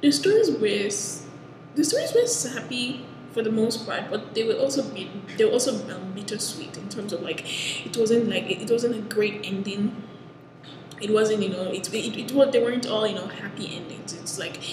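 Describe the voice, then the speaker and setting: At a moderate pace, a woman speaks with ordinary pitch variation and big swings in loudness, with audible room echo and noticeable background noise. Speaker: anime reviewer. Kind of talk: casual review chat. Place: classroom. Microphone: headset.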